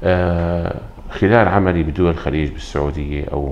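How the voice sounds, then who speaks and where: There is light background noise as a man talks at a moderate pace. He has a Syrian accent and a very deep, low pitch. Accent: Syrian Levantine Arabic. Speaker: pediatric dentist. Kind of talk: interview. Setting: dental clinic. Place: office.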